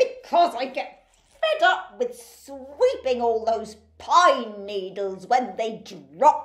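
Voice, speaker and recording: Putting on a character voice, a woman speaks very slowly at a high pitch with lively intonation. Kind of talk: children's storytime acting. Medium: read story.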